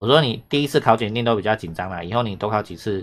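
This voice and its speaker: The man talks at a very fast pace in a Taiwanese accent. His pitch variation is ordinary. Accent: Taiwanese Mandarin. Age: 40s. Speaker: Japanese language teacher. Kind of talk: online lesson commentary. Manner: animated.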